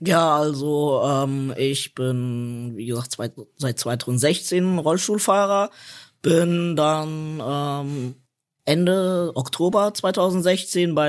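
A man's fairly high voice with lively intonation on a very clean recording with a silent background. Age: 30s. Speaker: wheelchair skater. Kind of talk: casual chat.

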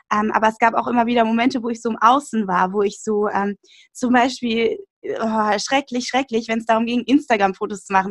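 The speech moves at a fairly quick pace with fairly even intonation. The sound is dry and close, with no echo. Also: woman. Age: 20s. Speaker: nutrition podcaster and author. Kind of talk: casual interview. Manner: hesitant, many fillers.

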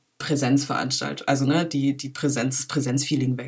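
Noticeable noise sits behind a woman whose speech keeps a moderate pace. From Berlin, Germany. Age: 20s. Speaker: filmmaker. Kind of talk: interview. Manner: halting, many fillers.

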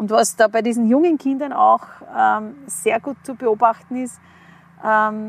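Here a woman with a fairly high pitch talks at a fairly slow pace with ordinary pitch variation. The sound is dry and close, with no echo. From Upper Austria, rural. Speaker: kindergarten teacher. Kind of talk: casual interview. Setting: outdoors in a forest.

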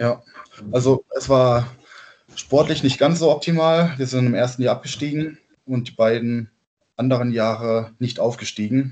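A man at a medium pitch and moderate pace, with fairly even intonation and long, frequent pauses. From southern Baden, Germany (Gengenbach near Offenburg). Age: 20s. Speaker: handball player. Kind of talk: casual interview. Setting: video call from home. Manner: halting with many fillers.

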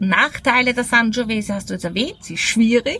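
Music plays in the background. A woman is talking over it. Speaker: wine podcast host. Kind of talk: casual interview. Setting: outdoors at a table by a villa.

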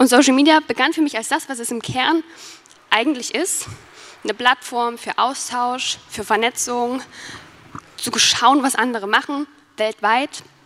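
Over noticeable background noise, a woman with a high pitch speaks at a fairly slow pace with fairly even intonation and long, frequent pauses. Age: 20s. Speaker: YouTuber and student. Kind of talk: conference talk.

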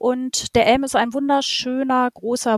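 A woman's high-pitched voice at a fairly slow pace, dry and close with no echo. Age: 40s. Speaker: holiday rental host and shop owner. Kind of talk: interview.

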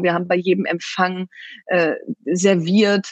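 Her pitch sits at a medium level, and her intonation is fairly even. A woman with a normal speaking voice is heard in a dry, close sound with no echo. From Germany, Bielefeld (East Westphalia). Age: 40s. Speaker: entrepreneur and author. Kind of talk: interview.

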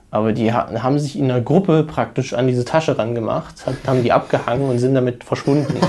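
With noticeable background noise behind him, a man speaks very fast at a medium pitch. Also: ordinary pitch variation. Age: 20s. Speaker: university student, former work-and-travel backpacker. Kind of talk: interview, casual personal account. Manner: hesitant, many fillers.

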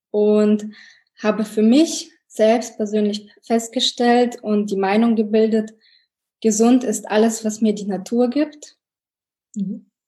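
Very slow and broken by long, frequent pauses, a woman's fairly high, somewhat breathy voice carries a dark, mellow tone with fairly even intonation. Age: 30s. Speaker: engineer and mother sharing a weight-loss story. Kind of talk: podcast interview.

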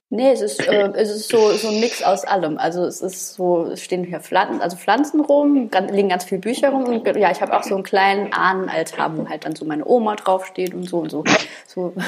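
A woman speaks at a medium pitch with lively intonation. She moves fairly quickly over noticeable background noise. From Saarland, Germany. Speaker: podcast co-host. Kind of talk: casual chat.

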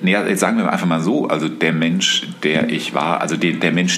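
Over noticeable background noise and with audible room echo, a man speaks at a very deep, low pitch with ordinary pitch variation. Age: 50s. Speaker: podcast co-host, father of co-host. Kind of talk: casual conversation. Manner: halting, many fillers.

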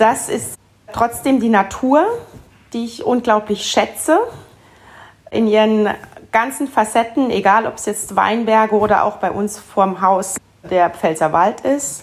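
A woman speaks very slowly with long, frequent pauses, her fairly high voice showing ordinary pitch variation. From Palatinate, Germany. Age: 40s. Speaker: winemaker. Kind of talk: interview.

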